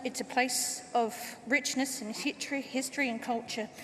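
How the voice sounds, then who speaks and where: In an Australian accent, a woman with a high pitch speaks at a moderate pace and fairly even intonation, amid audible room echo and noticeable background noise. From Australia, Port Adelaide. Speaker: party member, first-time speaker. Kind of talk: conference speech. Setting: stage with audience.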